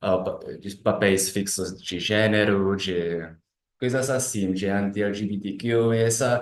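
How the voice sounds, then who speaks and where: A man with a Czech accent speaks at a very slow pace in a fairly low pitch. His intonation stays fairly even, and the room echo is audible. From Czech Republic. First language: Czech (speaking Portuguese). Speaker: philosophy doctoral student. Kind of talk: academic presentation. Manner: halting, many self-corrections.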